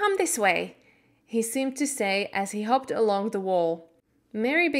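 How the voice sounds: What you hear is a natural reading voice.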